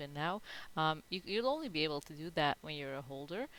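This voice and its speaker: This woman has a very deep, low pitch. She speaks with a non-native accent. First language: not English. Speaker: NFT project founder. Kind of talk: live Q&A in online town hall. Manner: halting, many fillers.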